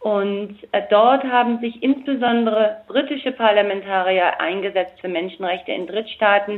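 Fairly high in pitch, a woman speaks at a moderate pace with ordinary pitch variation. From Germany. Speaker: politician. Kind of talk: interview. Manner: hesitant.

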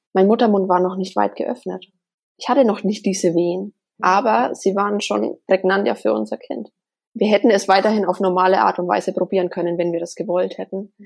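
Vocal fry runs through this fairly quick delivery with ordinary pitch variation. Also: woman, medium pitch for a woman. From Germany, Bavaria (near Bamberg, Upper Franconia). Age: 30s. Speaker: spiritual medium. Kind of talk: interview, personal story.

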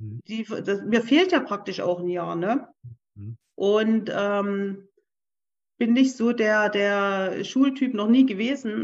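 A woman's medium-pitched voice at a very slow pace, with ordinary pitch variation, big swings in loudness, and a quiet background. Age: 40s. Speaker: career changer, former self-employed, retraining as office clerk. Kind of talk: interview. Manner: hesitant, many fillers.

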